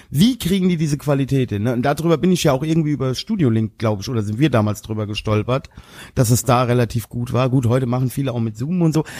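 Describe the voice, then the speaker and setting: The pace is very fast. The tone is dark and mellow. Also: man, medium pitch for a man, ordinary pitch variation. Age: 40s. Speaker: podcast co-host. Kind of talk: casual chat.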